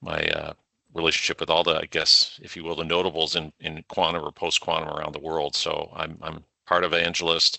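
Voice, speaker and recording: Very deep and low in pitch, a man in a Canadian accent talks at a fairly quick pace with monotone, flat intonation. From Canada. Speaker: cybersecurity executive. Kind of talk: podcast interview.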